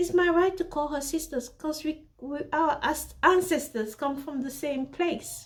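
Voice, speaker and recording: A very slow pace with ordinary pitch variation. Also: woman. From Central Africa (Congo/Cameroon roots). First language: not English. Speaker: fashion designer and vlogger. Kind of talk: casual storytelling vlog. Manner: hesitant, self-correcting.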